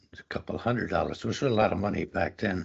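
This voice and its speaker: A man talks with an American accent at a fairly low pitch. His voice is somewhat breathy, with ordinary pitch variation. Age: 90s. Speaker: elderly interviewee. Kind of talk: life story interview. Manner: halting.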